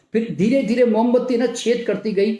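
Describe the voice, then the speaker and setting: With audible room echo, a man speaks at a moderate pace in an extremely high pitch and a dark, mellow tone. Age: 70s. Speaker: naturopathy doctor and health speaker. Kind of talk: motivational health talk. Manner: animated.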